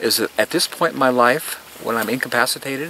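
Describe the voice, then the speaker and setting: Against noticeable background noise, a man speaks at a medium pitch and a moderate pace. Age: 60s. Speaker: gardener giving a garden tour. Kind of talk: guided tour talk to visitors. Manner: animated.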